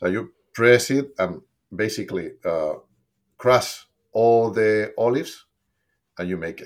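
A man with a Spanish accent speaks at a medium pitch and a fairly slow pace, with long, frequent pauses. His intonation is lively, his loudness swings widely, and the recording is very clean with a silent background. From Spain. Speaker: olive oil company co-founder. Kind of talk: casual interview. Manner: animated.

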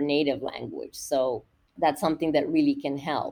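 A woman speaks with a Spanish accent. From Nicaragua. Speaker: university professor. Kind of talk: educational interview.

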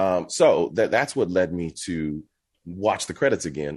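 In a quiet background, a man with an American accent speaks with a very deep, low pitch and vocal fry. His intonation is lively. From Texas. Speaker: actor and voice actor. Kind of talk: casual interview chat.

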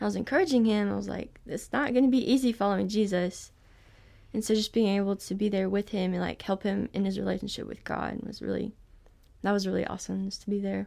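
Very fast speech comes from a woman on a very clean recording where the background is silent. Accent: Southern US. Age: 20s. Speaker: college student going on a mission trip. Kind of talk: casual interview.

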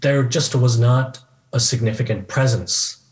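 This man's voice is somewhat breathy, and he speaks at a moderate pace. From US, California Bay Area. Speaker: professor. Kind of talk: interview.

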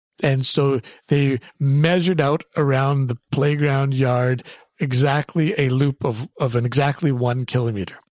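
A normal speaking voice talks at a fairly slow pace with fairly even intonation and very even loudness. The sound is dry and close with no echo. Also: man, fairly high pitch for a man. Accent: Canadian. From Canada. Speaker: clinical psychologist. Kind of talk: interview. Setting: office.

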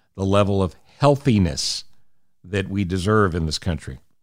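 At a moderate pace, a man with an American accent uses a normal speaking voice at a fairly low pitch, in a very clean recording with a silent background. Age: 60s. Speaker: radio host and podcaster. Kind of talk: solo podcast monologue. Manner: earnest.

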